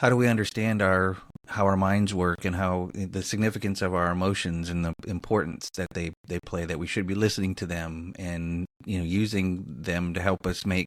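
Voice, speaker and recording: A man's very deep, low voice with fairly even intonation and hardly any pauses, on a very clean recording with a silent background. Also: moderate pace. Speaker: podcast host. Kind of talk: interview conversation.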